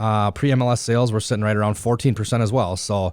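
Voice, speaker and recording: A man speaking at a fairly quick pace with fairly even intonation, in a very clean recording with a silent background. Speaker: real estate agent. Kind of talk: casual market update monologue. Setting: podcast studio. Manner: fast; hesitant, many fillers. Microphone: new good studio mics.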